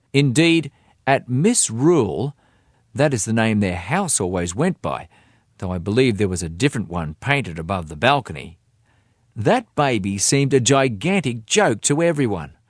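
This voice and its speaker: Dry and close with no echo on a very clean recording with a silent background, a man with an Australian accent talks at a medium pitch and moderate pace, his pitch swinging very widely. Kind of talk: audiobook reading.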